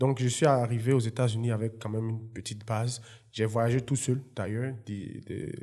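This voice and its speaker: Speaking at a moderate pace and medium pitch, a man has a dark, mellow tone and monotone, flat intonation. The recording is very clean, with a silent background. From Côte d'Ivoire (Yopougon, Abidjan). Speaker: entrepreneur and former footballer. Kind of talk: interview.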